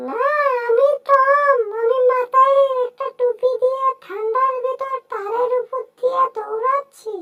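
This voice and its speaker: At a fairly slow pace, a woman talks in a put-on character voice. Her pitch is extremely high. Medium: fan dub. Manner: playful, chatty.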